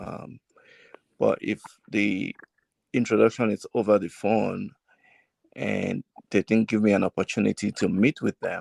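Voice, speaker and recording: A man with a Nigerian accent speaks at a fairly slow pace, leaving long, frequent pauses. The sound is dry and close, with no echo. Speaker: realtor and salesperson. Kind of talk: casual family podcast discussion. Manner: deliberately slow; hesitant, with fillers.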